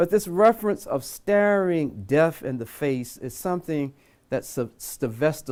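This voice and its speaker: A man with an American accent talks at a fairly slow pace, his pitch swinging very widely. The recording is very clean, with a silent background. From US South (North Carolina). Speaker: imam. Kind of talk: lecture.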